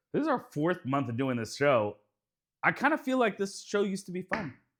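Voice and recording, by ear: With a playful, theatrical tone, a man speaks at high pitch and moderate pace, his fairly bright voice making big pitch swings on a very clean recording with a silent background.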